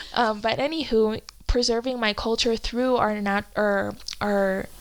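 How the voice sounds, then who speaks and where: Fairly slow and with fairly even intonation, the speech comes on a very clean recording with a silent background. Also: woman. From Peru, Andes; childhood partly in California. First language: Spanish and Quechua. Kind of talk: casual podcast conversation.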